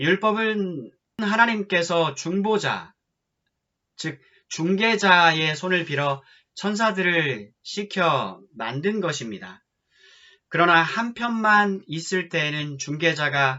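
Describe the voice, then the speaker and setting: A man at a high pitch, very slow pace, and lively intonation. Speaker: pastor. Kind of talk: scripture reading.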